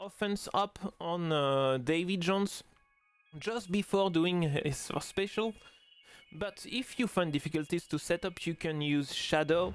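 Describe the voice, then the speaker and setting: With music in the background, a high-pitched man speaks with ordinary pitch variation. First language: French. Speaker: mobile game tutorial youtuber. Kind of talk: tutorial. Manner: halting, many fillers.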